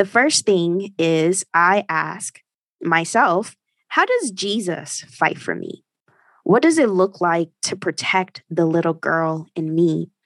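With a dry, close sound and no echo, a woman speaks very slowly in a fairly low pitch with ordinary pitch variation. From Haitian family. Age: 30s. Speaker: podcast host. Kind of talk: solo podcast monologue.

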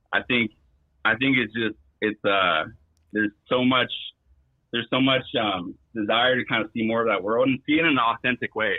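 In a Californian accent, a man speaks at a medium pitch and moderate pace, with very even loudness and long, frequent pauses. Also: ordinary pitch variation. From East Bay, California. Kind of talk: call-in comment. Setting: phone call.

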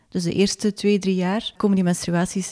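Dark and mellow in tone, a woman speaks at a moderate pace in a dry, close sound with no echo. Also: very clean recording, silent background. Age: 40s. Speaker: magazine editor and author. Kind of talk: interview. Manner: hesitant, many filler sounds.

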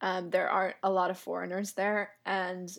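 In an American accent, a woman speaks at a moderate pace and medium pitch. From US South, Atlanta, Georgia. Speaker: language instructor and indie iOS developer. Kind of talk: casual interview. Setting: remote call.

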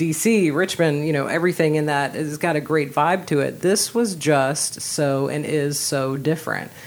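A woman with a very deep, low pitch speaks at a moderate pace with ordinary pitch variation and hardly any pauses, over noticeable background noise. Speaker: podcast host. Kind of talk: casual interview chat.

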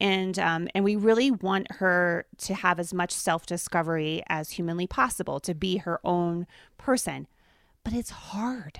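A woman's normal speaking voice at medium pitch, with ordinary pitch variation and a fairly slow pace, in a dry, close sound with no echo. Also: very clean recording, silent background. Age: middle-aged. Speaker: podcast co-host, mother. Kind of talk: casual chat.

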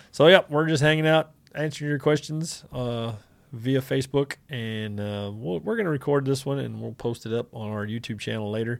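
A man with a medium pitch speaks at a moderate pace with ordinary pitch variation, in a plain, everyday voice. The recording is very clean, with a silent background. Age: 40s. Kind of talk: casual chat. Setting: Facebook livestream.

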